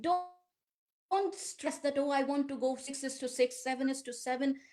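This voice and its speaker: With an Indian accent, a woman speaks at a moderate pace in a high pitch with a dark, mellow tone and ordinary pitch variation. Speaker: yoga teacher. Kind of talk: guided practice instruction.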